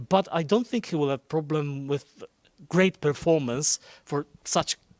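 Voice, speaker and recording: Recorded dry and close with no echo, a man with a Polish accent speaks at a fairly high pitch with ordinary pitch variation. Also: long, frequent pauses. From Poland. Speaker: Eurovision journalist. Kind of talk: casual talk show chat. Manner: halting.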